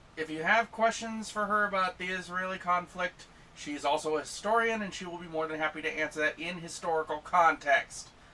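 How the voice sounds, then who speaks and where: Noticeable background noise sits behind a man with a high pitch and ordinary pitch variation. He talks at a fairly quick pace with hardly any pauses and big swings in loudness. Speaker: co-host and tech helper. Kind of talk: casual reaction chat.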